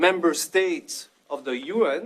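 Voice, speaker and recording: A man talks at a high pitch with ordinary pitch variation. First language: French. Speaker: NGO founder and activist. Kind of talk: panel talk to students. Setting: roundtable with student audience. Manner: hesitant, many fillers.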